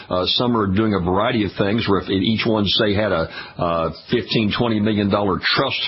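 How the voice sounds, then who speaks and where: Fairly low in pitch and fairly even in intonation, a man with an American accent speaks at a fairly quick pace over noticeable background noise. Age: 70s. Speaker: radio host. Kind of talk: radio interview.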